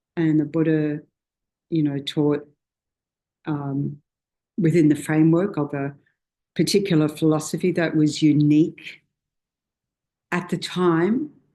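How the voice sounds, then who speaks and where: In an Australian accent, the speaker goes at a fairly slow pace with long, frequent pauses. The background is quiet. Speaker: Buddhist teacher. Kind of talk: dharma talk. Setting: meditation centre with small audience. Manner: loud; informal, hesitant with fillers.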